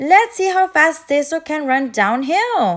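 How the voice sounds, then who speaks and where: Using a put-on character voice, a woman talks at a fairly slow pace with a high pitch. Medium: read story. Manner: eager, upbeat.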